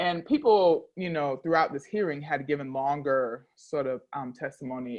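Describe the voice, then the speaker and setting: A woman with an American accent speaks at a moderate pace in a very deep, low voice, her intonation lively. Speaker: intersex activist. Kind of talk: interview conversation.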